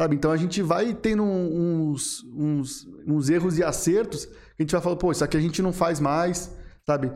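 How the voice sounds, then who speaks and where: Moderate pacing from a man with a high pitch and ordinary pitch variation. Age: 20s. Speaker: marketing agency founder. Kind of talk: podcast interview.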